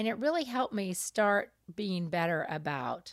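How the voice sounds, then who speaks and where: Over a silent background on a very clean recording, a woman with vocal fry talks at a medium pitch with very wide pitch swings. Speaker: podcast co-host. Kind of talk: casual chat. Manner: relaxed.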